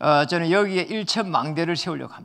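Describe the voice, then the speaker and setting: A man with a high pitch speaks in an animated tone, his pitch varying in an ordinary way. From South Korea, Jinju area (Gyeongsang). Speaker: pastor. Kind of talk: sermon.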